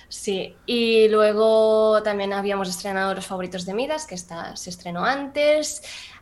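In a normal speaking voice, a woman talks at a fairly slow pace with hardly any pauses, a fairly high pitch, ordinary pitch variation and big swings in loudness. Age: 20s. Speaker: 3D artist and CGI supervisor. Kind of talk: casual interview chat.

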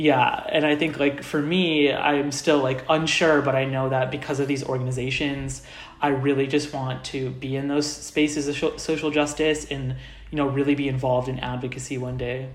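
A man's fairly high voice with an American accent and flat, monotone intonation, amid noticeable background noise and audible room echo. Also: moderate pace. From US Midwest, Indianapolis, Indiana. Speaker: university student. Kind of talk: casual interview.

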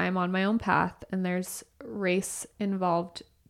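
A woman's plain, everyday voice at a medium pitch and fairly slow pace, in a very clean recording with a silent background. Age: 20s. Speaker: podcast co-host, hairdresser. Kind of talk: casual chat.

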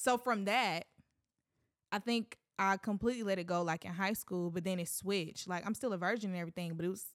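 A woman's normal speaking voice at medium pitch, fairly quick, with ordinary pitch variation and a dry, close sound with no echo. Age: 20s. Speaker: minister and musician. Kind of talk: casual chat; testimony.

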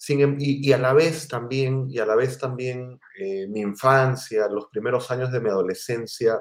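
A man's medium-pitched voice at a fairly slow pace. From Peru, Lima. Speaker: writer and library director. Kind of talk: interview conversation. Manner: hesitant fillers.

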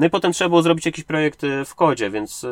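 Dry and close with no echo, a man speaks at a very fast pace with ordinary pitch variation. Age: 30s. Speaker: indie game developer. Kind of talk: interview. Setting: sitting in a parked car. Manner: halting.

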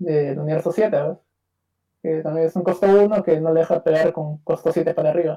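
A man speaks at a high pitch in a Peruvian accent. His moderate-paced delivery is monotone and flat. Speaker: card game player. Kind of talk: interview.

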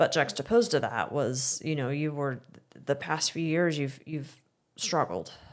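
A woman with a Midwestern American accent speaks fairly slowly in a very deep, low voice, with lively intonation and long, frequent pauses. The recording is very clean, with a silent background. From Missouri, Excelsior Springs. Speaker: guest interviewer, host's wife. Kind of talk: casual interview conversation. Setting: barn hayloft recording.

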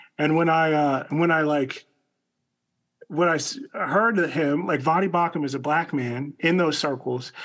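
A man's normal speaking voice with an American accent, fairly high in pitch, fairly slow, at very even loudness with ordinary pitch variation. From US suburbs. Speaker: podcast co-host. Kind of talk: casual chat.

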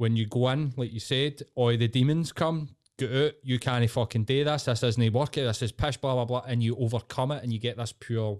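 Fairly quick delivery on a very clean recording with a silent background, the sound dry and close with no echo. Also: man. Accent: Glasgow. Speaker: podcast guest. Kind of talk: casual chat.

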